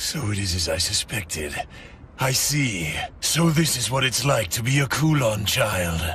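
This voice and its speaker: A man talks at a moderate pace in a put-on character voice of medium pitch. Background noise is clearly audible. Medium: fan dub. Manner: calm, self-satisfied.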